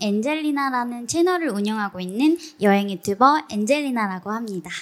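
Here a woman talks at a moderate pace. Her pitch swings very widely. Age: 30s. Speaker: travel YouTuber. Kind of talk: live interview on stage. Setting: stage with audience.

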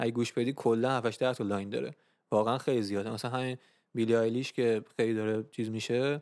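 A man's very fast, monotone delivery at a medium pitch with flat intonation, on a very clean recording with a silent background. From Iran. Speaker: music podcast host. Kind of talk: casual chat.

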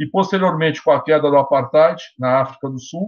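Here a man speaks with a fairly high pitch and ordinary pitch variation. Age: 50s. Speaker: law professor, lawyer and council candidate. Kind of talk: interview.

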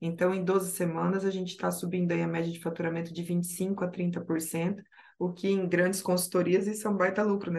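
A woman's medium-pitched voice at a fairly quick pace, flat and monotone, with hardly any pauses. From Rio Grande do Sul, Brazil. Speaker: project analyst. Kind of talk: podcast interview.

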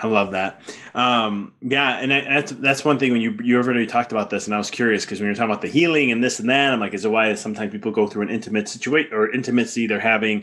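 An enthusiastic man at medium pitch, talking at a very fast pace with hardly any pauses. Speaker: podcast host. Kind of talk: casual interview.

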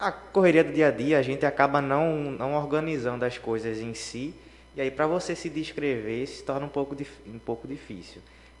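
Here is a man with an ordinary speaking voice and a fairly high pitch. He talks at a moderate pace with ordinary pitch variation. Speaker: psychology student. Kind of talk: casual chat. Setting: radio studio.

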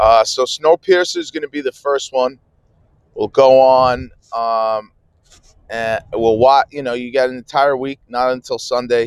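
The recording has a dry, close sound with no echo as a man speaks at a medium pitch, a fairly slow pace and with fairly even intonation. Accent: American. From New Jersey. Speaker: livestream podcaster. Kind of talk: casual live chat. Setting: on the way to work. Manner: hesitant, many fillers.

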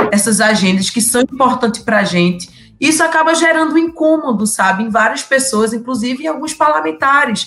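With lively intonation, an unremarkable speaking voice delivers its words at a fairly quick pace. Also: woman. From Pernambuco interior, Brazil. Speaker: politician (collective state deputy). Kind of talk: live podcast discussion.

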